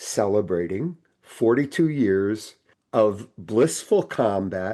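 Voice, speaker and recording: Lively in intonation, a man speaks with a dark, mellow tone. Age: 70s. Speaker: retired doctor and author. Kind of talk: podcast interview. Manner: halting, repeats words.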